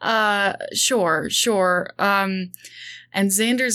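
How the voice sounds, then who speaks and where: Over a silent background in a very clean recording, a woman speaks in a bright, sharp tone with monotone, flat intonation. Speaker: freelance writer and game player. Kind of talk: actual play roleplaying session.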